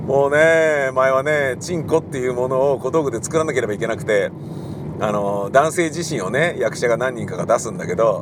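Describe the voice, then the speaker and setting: A man speaks at a moderate pace in a fairly high voice. Noticeable background noise runs under him. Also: ordinary pitch variation. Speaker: radio personality and theatre director. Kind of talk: casual solo talk while driving. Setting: in a car.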